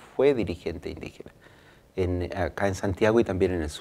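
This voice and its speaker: A man with a dark, mellow tone talks at a moderate pace with ordinary pitch variation. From Chile. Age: 50s. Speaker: lawyer and Mapuche political spokesman; lawyer, political spokesman. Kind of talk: interview. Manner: halting. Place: studio. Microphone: lapel.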